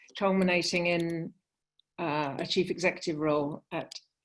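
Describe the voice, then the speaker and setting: This speaker has a British accent. The pace is fairly slow. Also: woman. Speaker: sports consultant. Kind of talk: panel discussion. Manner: hesitant, many fillers.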